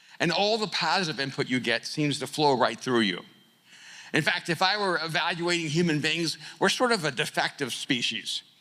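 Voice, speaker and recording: Bright and sharp in tone, a man with a fairly high pitch speaks at a moderate pace with lively intonation. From El Salvador, raised in US from age 4-5. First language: Spanish. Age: 60s. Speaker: keynote speaker and author. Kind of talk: motivational keynote speech. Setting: conference stage with audience. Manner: repetitive stammering starts.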